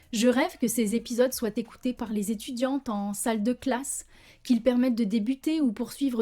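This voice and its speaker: A woman talks at a moderate pace in a high voice with a dark, mellow tone and ordinary pitch variation. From France. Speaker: social worker, podcast host. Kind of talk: podcast monologue. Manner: passionate, committed.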